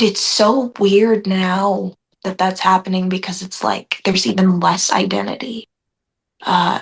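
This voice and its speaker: Very slowly, a woman speaks at medium pitch with fairly even intonation. Her voice is somewhat breathy. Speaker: spiritual group meeting participant. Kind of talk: casual chat. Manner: hesitant, many fillers.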